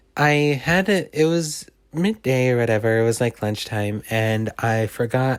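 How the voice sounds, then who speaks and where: A man at a medium pitch and a fairly slow pace with ordinary pitch variation, in a very clean recording with a silent background. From Canada. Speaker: YouTuber storyteller. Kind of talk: casual storytelling. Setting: at home on couch. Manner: halting, self-correcting.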